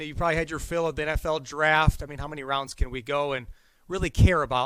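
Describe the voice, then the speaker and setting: A man with an American accent and an ordinary speaking voice, fairly high-pitched for a man, at a fairly quick pace on a very clean recording with a silent background. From Wisconsin. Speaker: golf show host. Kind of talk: show opening talk to camera. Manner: upbeat.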